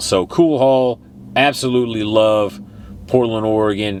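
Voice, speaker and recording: The speaker has a Texan accent. The pace is fairly slow. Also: man. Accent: Texan, noticeable. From Texas. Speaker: retro gaming YouTuber. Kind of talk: casual vlog monologue. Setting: travelling in Oregon. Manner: casual, filler-heavy.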